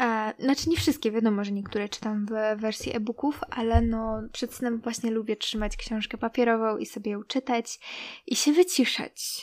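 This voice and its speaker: Dry and close with no echo, a woman speaks at a fairly high pitch, a moderate pace and ordinary pitch variation. She has an ordinary speaking voice. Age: 20s. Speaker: podcast host. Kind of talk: casual chat.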